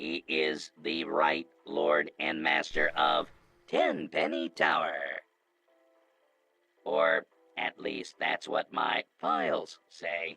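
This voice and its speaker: Using a put-on character voice in a deadpan tone, a man speaks at a very slow pace with long, frequent pauses as faint music plays in the background. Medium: video game. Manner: formal, deadpan.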